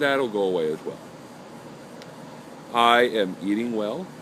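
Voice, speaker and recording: At a moderate pace, a man of medium pitch swings very widely in pitch against noticeable background noise. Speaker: video blogger recovering from jaw surgery. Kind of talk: personal video diary. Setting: self-recorded on camera.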